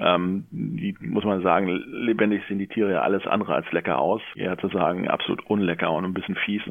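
Fairly low in pitch, a man speaks at a fairly quick pace with fairly even intonation in a plain, everyday voice. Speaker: local newspaper journalist. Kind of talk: interview. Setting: phone call.

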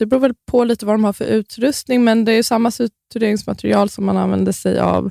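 The delivery is fairly quick with hardly any pauses, in a dry, close sound with no echo. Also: woman. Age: 30s. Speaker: midwife and influencer. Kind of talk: podcast interview.

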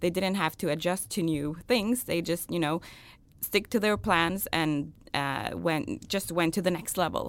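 Recorded very cleanly against a silent background, a woman with vocal fry speaks fairly slowly at a fairly low pitch with ordinary pitch variation. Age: 30s. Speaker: digital strategist. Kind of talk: interview. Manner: hesitant, many filler words.

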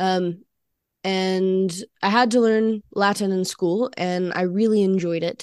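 A woman with an Alabama accent at a very slow pace, medium in pitch, on a very clean recording with a silent background. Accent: Southern US (Alabama). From US South, Alabama. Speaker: university student, co-host. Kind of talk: casual chat.

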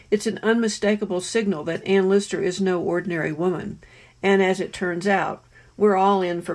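A woman's fairly low, vocal-fry voice at a moderate pace with fairly even intonation, on a very clean recording with a silent background. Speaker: author. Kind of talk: testimony.

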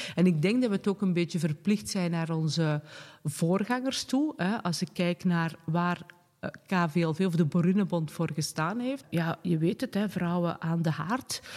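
A woman talks in a plain, everyday voice, fairly low in pitch. Her pitch varies in an ordinary way at a fairly slow pace. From Flanders, Pajottenland (Sint-Martens-Lennik). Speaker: director of a women's organisation and local councillor. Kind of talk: casual interview.

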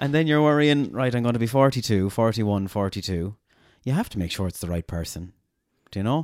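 A man speaks with an Irish accent at a medium pitch. His pace is fairly quick and his intonation lively. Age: 30s. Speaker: podcast host. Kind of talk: casual interview.

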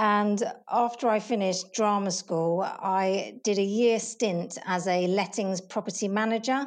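Speaking in a southern English accent, a woman has a medium pitch with ordinary variation and a fairly slow pace. The recording is very clean and the background silent. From southern England. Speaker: property operations coordinator. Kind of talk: interview.

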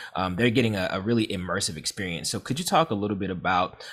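The voice is a man's, pitched fairly low. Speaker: podcast host. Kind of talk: interview with ad reads.

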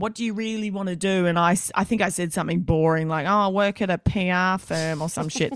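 On a very clean recording with a silent background, a woman with an Australian accent and a medium pitch talks at a fairly quick pace with ordinary pitch variation. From Australia, rural Queensland (Stanthorpe). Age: 30s. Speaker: radio host. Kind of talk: casual chat.

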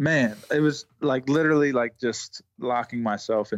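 A man with an unremarkable speaking voice talks at medium pitch with ordinary pitch variation. The recording is dry and close with no echo, and the background is quiet. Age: 30s. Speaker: basketball shooting coach. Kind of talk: casual interview.

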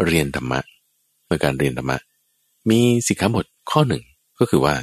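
A man's lively intonation comes across in a dry, close sound without any echo. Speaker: Buddhist monk teacher. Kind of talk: radio dharma Q&A talk.

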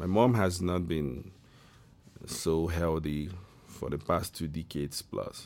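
A very slow pace with long, frequent pauses and ordinary pitch variation. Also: man, very deep, low pitch for a man. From Nigeria (Igbo). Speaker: gospel musician. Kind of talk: casual chat.

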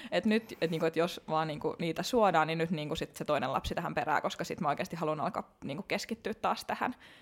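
Very fast pace with hardly any pauses and ordinary pitch variation. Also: woman, fairly low pitch for a woman. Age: 30s. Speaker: fitness competitor. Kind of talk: casual interview chat.

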